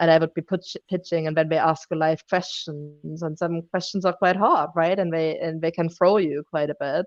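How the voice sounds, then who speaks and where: Woman at a fairly low pitch and moderate pace, monotone and flat, with hardly any pauses, in a dry, close sound with no echo over a quiet background. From Germany. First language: German. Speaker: drinks company founder and CEO. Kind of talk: interview.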